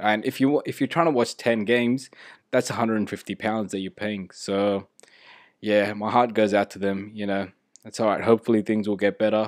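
Recorded very cleanly against a silent background, a man with a normal speaking voice, a fairly low pitch and fairly even intonation talks at a fairly quick pace. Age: 30s. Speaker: football podcaster. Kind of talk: casual solo podcast. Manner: casual, filler-heavy.

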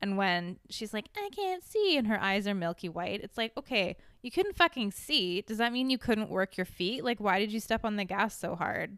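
A woman uses an ordinary speaking voice, fairly high in pitch with ordinary pitch variation. She speaks with hardly any pauses. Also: moderate pace. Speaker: guest, host's sister. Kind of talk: casual chat.

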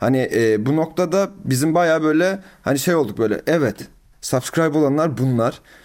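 This man talks with ordinary pitch variation. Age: 20s. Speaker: growth marketing consultant. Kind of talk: casual interview. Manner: frequent filler hesitations.

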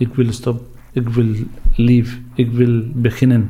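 Somewhat breathy and dark, mellow in tone, a man speaks at a very slow pace. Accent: Syrian. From Syria. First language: Arabic (speaking Dutch). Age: 40s. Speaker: refugee, bus driver. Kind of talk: interview testimony. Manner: halting.

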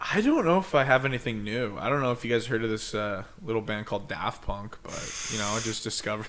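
With hardly any pauses, a man talks at a very fast pace in a medium pitch with ordinary pitch variation over noticeable background noise. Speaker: podcast co-host. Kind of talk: casual chat.

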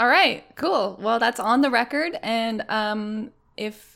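A woman speaks in an ordinary speaking voice, fairly high in pitch with ordinary pitch variation, on a very clean recording with a silent background. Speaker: video game podcast co-host. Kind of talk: casual chat.

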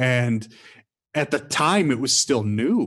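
A man with a plain, everyday voice and an American accent talks at a fairly slow pace. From Michigan. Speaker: former theme park performer and hotel manager. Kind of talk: casual interview storytelling.

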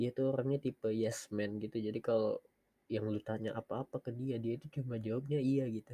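The man's voice is somewhat breathy and sits at a medium pitch. He delivers it in a monotone with flat intonation. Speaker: podcaster. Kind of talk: casual monologue. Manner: halting, many pauses. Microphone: headset mic, quiet.

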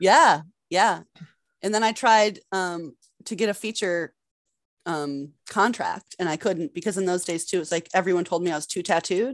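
A woman with an American accent and an unremarkable speaking voice talks at medium pitch and moderate pace with ordinary pitch variation, on a very clean recording with a silent background. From Massachusetts. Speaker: adult performer and director. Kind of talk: casual interview.

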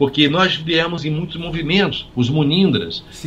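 With ordinary pitch variation, a man's speech moves at a moderate pace. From Brazil, Minas Gerais (São Lourenço). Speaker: physician and author. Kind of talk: interview conversation. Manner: halting, with many repetitions.

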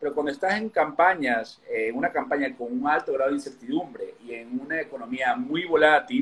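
A man talks in a plain, everyday voice at a moderate pace. His intonation is lively. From Ecuador. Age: 30s. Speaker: political consultant. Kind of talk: interview.

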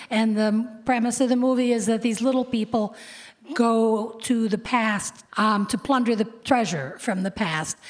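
Against noticeable background noise, a woman speaks fairly slowly at a fairly high pitch with ordinary pitch variation. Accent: American. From US Midwest (Cleveland, Ohio). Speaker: copy editor and author. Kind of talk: interview on stage. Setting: stage with audience.

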